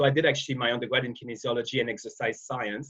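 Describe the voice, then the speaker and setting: A man talks at a very fast pace. He has a slight Quebec accent. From Quebec, Canada. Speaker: wellness industry expert. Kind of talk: interview. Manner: halting, many repetitions and fillers.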